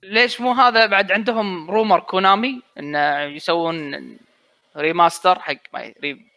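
A man speaks in a raised, projected voice at a high pitch, bright and sharp in tone. His pace is very slow and his intonation lively, against a quiet background. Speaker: gamer panelist. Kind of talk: casual chat. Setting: online call, live stream.

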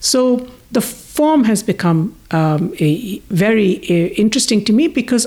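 Speaking at a fairly slow pace, a woman with a fairly high pitch sounds somewhat breathy and swings her pitch very widely. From India. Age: 60s. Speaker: scholar and filmmaker. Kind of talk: interview.

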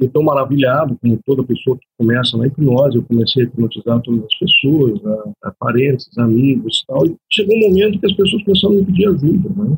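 Speaking at a fairly quick pace, a man with a fairly high pitch sounds somewhat breathy and swings his pitch very widely. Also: hardly any pauses. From Brazil, Curitiba (Paraná). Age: 40s. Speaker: hypnotherapist specializing in regression. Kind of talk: interview.

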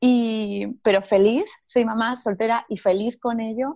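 A woman speaks in a normal speaking voice. Her intonation stays fairly even. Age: 30s. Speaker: personal growth coach and author. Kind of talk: interview.

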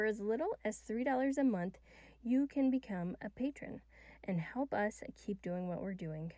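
A woman's dark, mellow voice with lively intonation at a fairly slow pace. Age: 40s. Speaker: podcast co-host and author. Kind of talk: casual chat.

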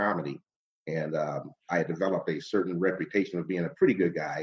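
A man with an American accent speaks in a very deep, low voice. His pitch varies in an ordinary way. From Cleveland, Ohio (Glenville). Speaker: radio host and comedian. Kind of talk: interview conversation.

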